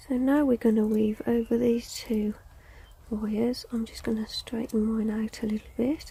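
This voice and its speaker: A soft-spoken woman talks at a moderate pace with a fairly high pitch. Her intonation stays monotone and flat. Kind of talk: tutorial.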